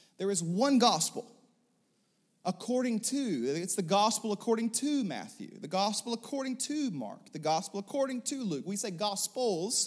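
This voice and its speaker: A man's high-pitched voice at a moderate pace. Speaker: pastor. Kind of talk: sermon. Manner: long-winded.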